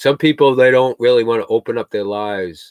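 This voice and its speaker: A man is talking. His pace is fairly quick. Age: 60s. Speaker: homesteader livestreamer. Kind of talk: casual chat. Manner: halting.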